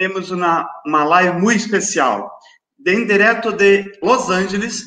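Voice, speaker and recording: With a Portuguese accent, a man speaks in a raised, projected voice at a high pitch. His pitch variation is ordinary, and audible room echo surrounds him. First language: Portuguese (speaking Spanish). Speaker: school director. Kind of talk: formal introduction. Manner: halting.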